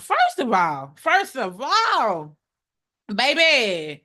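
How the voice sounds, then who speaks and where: Over a quiet background, a woman projects a raised voice with a bright, sharp, animated tone. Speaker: legal commentator, court trial vlogger. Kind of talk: casual vlog recap. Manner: loud when excited.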